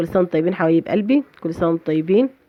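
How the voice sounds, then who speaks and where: A woman speaks at a very fast pace. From Egypt, Fayoum countryside. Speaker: home cooking channel host. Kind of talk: cooking tutorial. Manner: animated.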